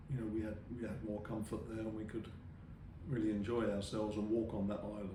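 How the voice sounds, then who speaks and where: Audible room echo surrounds a man who speaks at a fairly quick pace with a fairly low pitch. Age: 70s. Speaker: interviewee recalling island life. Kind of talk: interview. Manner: halting.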